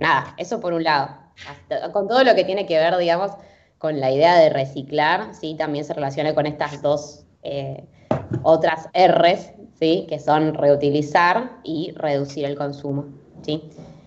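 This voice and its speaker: A woman with a very deep, low pitch at a fairly slow pace, with ordinary pitch variation and noticeable background noise. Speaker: sustainability interviewee. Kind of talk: interview.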